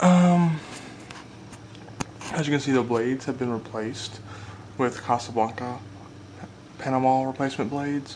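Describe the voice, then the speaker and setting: A quiet man with a medium pitch talks at a moderate pace, taking long, frequent pauses over noticeable background noise. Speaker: ceiling fan collector and video maker. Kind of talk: casual product demonstration. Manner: quiet, hushed.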